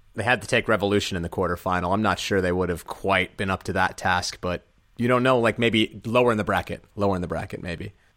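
A man talks at a very fast pace with fairly low pitch and fairly even intonation, on a very clean recording with a silent background. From half Colombian. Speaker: ultimate frisbee podcast host. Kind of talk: casual sports chat.

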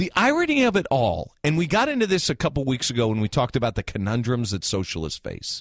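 Against a quiet background, a man talks at a fairly quick pace in an animated tone, his pitch swinging very widely, with vocal fry. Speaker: radio host. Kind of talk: live talk radio, opinionated sports and news commentary. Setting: studio, live radio. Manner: animated, conversational, opinionated.

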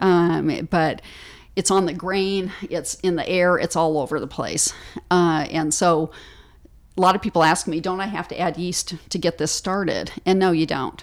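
A woman speaks with an American accent at a fairly low pitch and moderate pace. Her intonation is fairly even, on a very clean recording with a silent background. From US Pacific Northwest, Seattle. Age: 50s. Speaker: author and baking teacher. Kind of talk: casual interview. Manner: hesitant, with many fillers.

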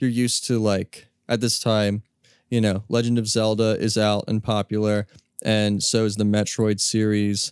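On a very clean recording with a silent background and a dry, close sound with no echo, a man speaks at a moderate pace and fairly low pitch in a flat monotone at a very even loudness. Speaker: podcast host. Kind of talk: casual chat.

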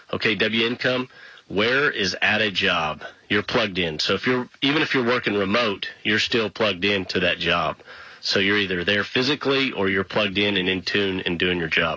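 In a normal speaking voice, a man talks at a moderate pace with a fairly low pitch, ordinary pitch variation and very even loudness. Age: 40s. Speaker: radio host. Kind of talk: radio talk show monologue.

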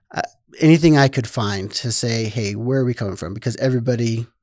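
A man with an American accent, pitched in the medium range. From Idaho (Rigby). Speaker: congressional candidate, military veteran. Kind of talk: interview. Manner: halting.

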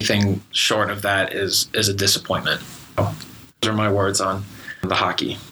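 Over noticeable background noise, a man speaks in a fairly low, monotone, flat voice at a moderate pace, with very even loudness and long, frequent pauses. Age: young. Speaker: student sports podcast host. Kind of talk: casual chat.

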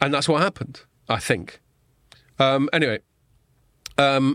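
Over a quiet background, a man with an English accent and a medium pitch is heard in a dry, close sound with no echo. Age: middle-aged. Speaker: podcast host. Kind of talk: casual chat. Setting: studio.

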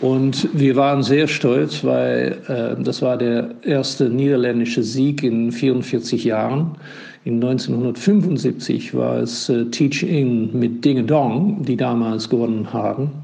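Very slow speech with a Dutch accent, ordinary pitch variation and audible room echo. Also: man, medium pitch for a man. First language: Dutch (speaking German). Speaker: ambassador. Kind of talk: voice message. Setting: WhatsApp voice message. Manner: halting.

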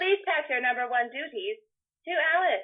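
This is a put-on character voice, squeaky and high in pitch. It moves at a moderate pace. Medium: actual play. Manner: formal, bureaucratic.

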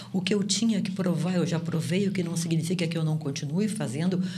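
A woman's fairly low-pitched voice at a moderate pace, with audible room echo. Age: 70s. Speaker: sociologist and professor. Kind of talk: interview.

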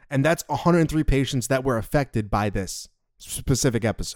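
Lively intonation from a man with an American accent at a medium pitch, on a very clean recording with a silent background. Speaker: podcast co-host. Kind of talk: casual chat.

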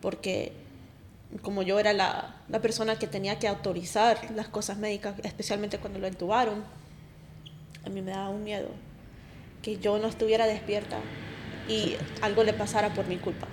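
A woman's monotone, flat delivery broken by long, frequent pauses. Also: medium pitch for a woman, moderate pace. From Colombia, raised mostly in US. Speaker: wife of guest. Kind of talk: testimony.

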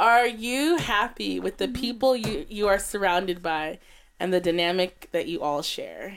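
A woman speaks at a fairly slow pace in a plain, everyday voice. Her pitch is medium and her intonation is lively. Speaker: podcast host. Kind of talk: casual chat.

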